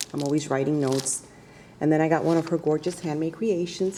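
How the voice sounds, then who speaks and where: A woman's very deep, low voice has a dark, mellow tone and ordinary pitch variation. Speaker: card-making crafter. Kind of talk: craft show-and-tell vlog. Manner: soft-spoken.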